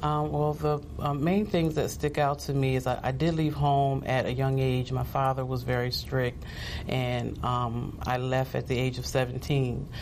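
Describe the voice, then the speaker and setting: A woman with an American accent speaks fairly slowly in a very deep, low pitch, with ordinary pitch variation and very even loudness, amid noticeable background noise and audible room echo. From New Jersey. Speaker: pastor. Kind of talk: testimony.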